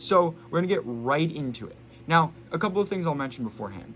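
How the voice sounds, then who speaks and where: The pitch of this man's voice swings very widely. He keeps a fairly quick pace. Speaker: sports podcast host. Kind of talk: casual solo sports podcast talk. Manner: hesitant, frequent stuttering and filler words.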